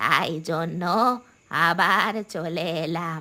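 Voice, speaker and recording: A female-sounding, cartoonish character voice delivers its lines in a monotone, flat intonation. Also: fairly low pitch for a woman. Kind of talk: cartoon horror ghost voice.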